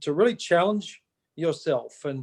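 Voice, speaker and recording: Someone with an Australian accent speaks with lively intonation, the sound dry and close with no echo. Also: man. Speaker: motivational speaker. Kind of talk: live-streamed motivational chat. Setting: video call, live on Facebook.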